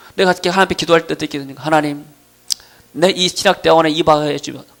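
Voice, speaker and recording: Amid noticeable background noise, a man with a fairly high pitch speaks at a very fast pace. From South Korea, Gwangju / Jeolla region. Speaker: pastor. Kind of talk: sermon. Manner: halting, with fillers.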